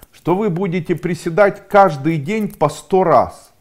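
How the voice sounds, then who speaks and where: A man speaking at a fairly slow pace against a quiet background. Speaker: coach or school founder. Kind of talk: motivational talk to camera. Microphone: lapel.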